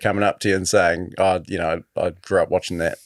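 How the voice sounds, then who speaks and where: In a New Zealand accent, a man with a very deep, low pitch talks at a fairly quick pace, recorded very clean, dry, and close, with a silent background and no echo. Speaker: podcast host. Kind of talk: interview.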